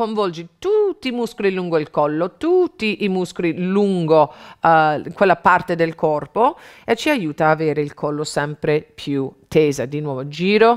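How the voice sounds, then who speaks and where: Over a quiet background, a woman talks in a normal speaking voice, fairly low in pitch, at a fairly slow pace with ordinary pitch variation. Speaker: fitness instructor. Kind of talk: tutorial. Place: studio.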